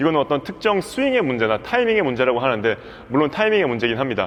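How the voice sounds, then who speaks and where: A man with very wide pitch swings over noticeable background noise. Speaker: badminton coach. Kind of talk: tutorial. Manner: fast; animated.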